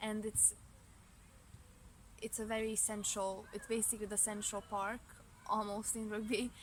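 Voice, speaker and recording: A woman with a Hungarian accent speaks in a fairly high, monotone, flat voice. Her pace is moderate, with long, frequent pauses. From Romania, Hungarian-speaking family. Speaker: student. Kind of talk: interview. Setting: outdoors in a park. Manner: halting, with self-corrections.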